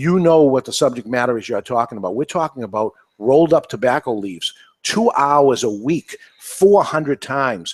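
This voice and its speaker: A man in a New England accent, with lively intonation, a moderate pace, and a dry, close sound with no echo. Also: medium pitch for a man. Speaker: podcast host. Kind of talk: panel discussion.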